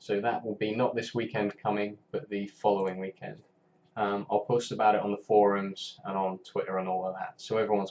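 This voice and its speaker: A man talks in a monotone with flat intonation and a fairly low pitch. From northern England, Carlisle. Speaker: game developer streamer. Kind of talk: casual live stream chat.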